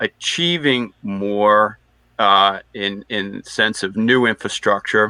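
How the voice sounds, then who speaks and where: This voice has an American accent. The pace is very slow. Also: man. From Boston area. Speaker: energy industry panelist. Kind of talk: webinar panel discussion.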